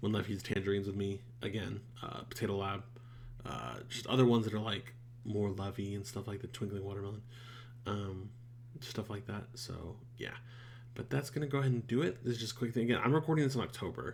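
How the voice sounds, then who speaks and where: A man with a medium-pitched, somewhat breathy voice talks at a very fast pace with fairly even intonation, broken by long, frequent pauses. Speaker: YouTuber reacting to shows. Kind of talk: casual channel update. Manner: halting, many fillers.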